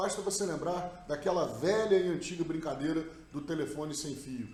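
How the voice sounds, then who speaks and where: A speaker with a Rio de Janeiro accent talks with ordinary pitch variation. Noticeable background noise and audible room echo fill the recording. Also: man. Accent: carioca (Rio de Janeiro). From Rio de Janeiro, Brazil. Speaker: NLP practitioner. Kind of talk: recorded talk / study summary.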